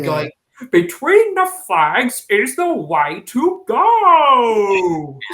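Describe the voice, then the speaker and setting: A put-on character voice, fairly high in pitch, with very wide pitch swings at a very slow pace. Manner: public-safety slogan.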